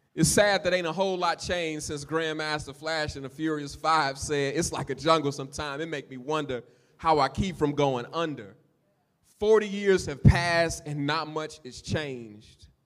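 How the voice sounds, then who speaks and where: A man's unremarkable speaking voice, fairly high in pitch, with ordinary pitch variation, a moderate pace and big swings in loudness. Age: 40s. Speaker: pastor. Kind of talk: sermon. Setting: church.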